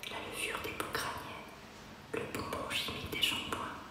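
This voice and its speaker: Whispering, a woman moves through her words at a fairly slow pace. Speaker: performer reading from her own speculative diary. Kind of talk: intimate spoken-word performance, diary reading. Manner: whispered, intimate. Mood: intimate, introspective.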